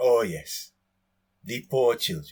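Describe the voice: A man performs a put-on character voice at a fairly low pitch. His tone is slightly mellow with a slightly husky edge.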